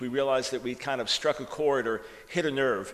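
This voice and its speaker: Speaking with a New York accent, a man keeps a moderate pace and fairly even intonation at a fairly high pitch. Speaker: author and preacher. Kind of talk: sermon. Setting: church conference with audience.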